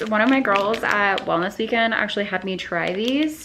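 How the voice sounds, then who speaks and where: Over noticeable background noise, a woman speaks fairly slowly at a medium pitch with lively intonation. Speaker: fitness and lifestyle vlogger. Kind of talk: casual vlog talk to camera. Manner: animated.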